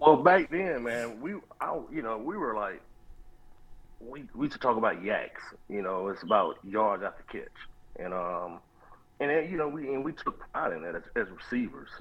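A medium-pitched male voice with vocal fry, very wide pitch swings, big swings in loudness, a moderate pace and long, frequent pauses. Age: 40s. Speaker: former college football receiver. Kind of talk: interview. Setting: phone call.

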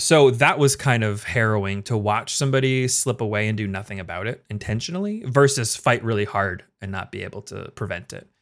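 An ordinary speaking voice from a man at medium pitch, fairly quick with hardly any pauses, ordinary pitch variation and big swings in loudness. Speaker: former EMT. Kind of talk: casual interview chat.

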